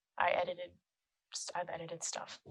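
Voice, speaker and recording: A quiet woman's voice at a very fast pace. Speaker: film composer and musician. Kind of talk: casual chat. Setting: podcast recording.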